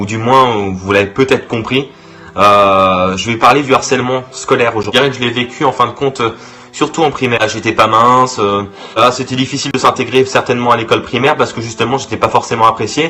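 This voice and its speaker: Over noticeable background noise, a man speaks at medium pitch and a fairly quick pace with fairly even intonation. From Brittany, France. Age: 20s. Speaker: youtuber. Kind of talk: vlog monologue. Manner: halting, many fillers and repetitions.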